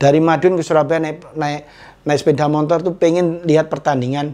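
A man speaking at a moderate pace, his intonation fairly even. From East Java, Indonesia (Tulungagung); East Java. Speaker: former football striker; interviewee. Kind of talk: casual interview. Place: home room. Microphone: lapel.

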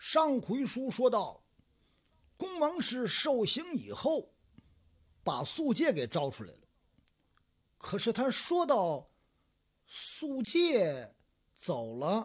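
A man at a very slow pace with an extremely high pitch, on a very clean recording with a silent background. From Tianjin. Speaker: storyteller. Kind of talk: traditional storytelling performance. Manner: lively, expressive.

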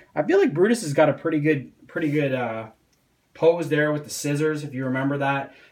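A man talks at a fairly quick pace with fairly high pitch. Room echo is audible.

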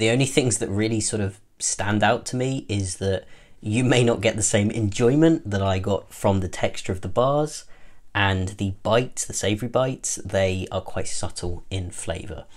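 With a British accent, this voice moves at a moderate pace and shows ordinary pitch variation. The background is quiet. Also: man, fairly low pitch for a man. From UK. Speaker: food product reviewer. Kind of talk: product review. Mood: friendly, relaxed. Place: home room.

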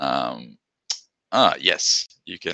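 A man with a bright, sharp tone and vocal fry speaks at a very slow pace, the sound dry with no echo and the background quiet. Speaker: tech presenter; presenter. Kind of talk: webinar presentation. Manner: soft-spoken; halting. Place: home room. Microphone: video call.

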